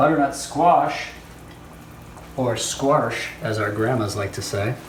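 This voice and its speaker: Playful, very slow speech from a man at medium pitch, ordinary pitch variation, with audible room echo and noticeable background noise. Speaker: home cooking show host. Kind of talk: cooking tutorial. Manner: casual, playful.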